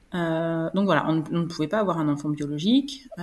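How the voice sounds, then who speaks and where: Somewhat breathy, a woman speaks with lively intonation at a moderate pace. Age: 30s. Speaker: adoptive mother sharing breastfeeding story. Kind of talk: interview testimony.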